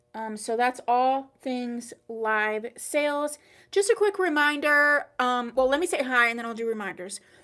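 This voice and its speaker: Speaking at a fairly slow pace, a woman has a high pitch, a bright, sharp tone and lively intonation. The recording is very clean with a silent background. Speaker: online wig boutique owner hosting live sale. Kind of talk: live-stream sales chat. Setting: livestream. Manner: casual, chatty.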